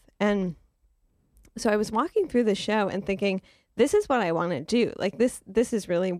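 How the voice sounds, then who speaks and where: On a very clean recording with a silent background, a woman with an American accent and an unremarkable speaking voice speaks at a moderate pace, her medium pitch showing ordinary variation. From Detroit, Michigan. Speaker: arts newspaper editor. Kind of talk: radio interview.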